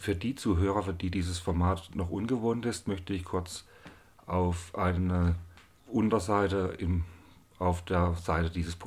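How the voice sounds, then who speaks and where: Very deep, low male voice, somewhat breathy, with monotone, flat intonation at a fairly slow pace. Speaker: podcast host, electrical engineer. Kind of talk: monologue introduction. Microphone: new recorder and two expensive microphones.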